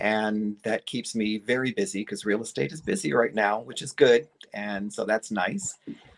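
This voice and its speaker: A man with an American accent and an ordinary speaking voice, medium in pitch, at a moderate pace, with lively intonation and big swings in loudness. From upstate New York. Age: 60s. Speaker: guest, vintage collector. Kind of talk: casual chat. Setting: livestream.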